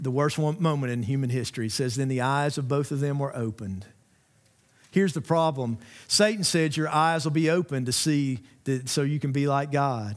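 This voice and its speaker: Talking at a fairly quick pace, a man with a Southern US accent uses a fairly high pitch and ordinary pitch variation. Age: 50s. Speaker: pastor. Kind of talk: sermon. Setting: church.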